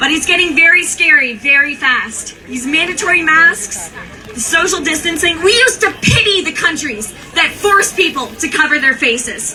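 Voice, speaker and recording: Over noticeable background noise, a woman uses a raised, projected voice at an extremely high pitch with lively intonation. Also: moderate pace. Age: young. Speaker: rally speaker, activist. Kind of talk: protest rally speech. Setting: outdoor rally with crowd.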